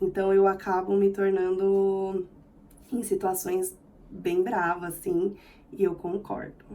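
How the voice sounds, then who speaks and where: A woman speaks at a very slow pace, with long, frequent pauses. Her medium-pitched voice has a dark, mellow tone and a monotone, flat intonation. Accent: São Paulo. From Brazil, São Paulo city. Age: 30s. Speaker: vlogger. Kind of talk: casual vlog self-introduction. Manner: expressive.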